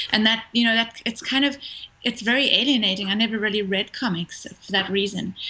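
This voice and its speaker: A woman talks at a fairly quick pace with fairly even intonation. Noticeable background noise is present. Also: fairly high pitch for a woman. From South Africa; Cape Town. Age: young. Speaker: filmmaker. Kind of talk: interview answer. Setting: phone line.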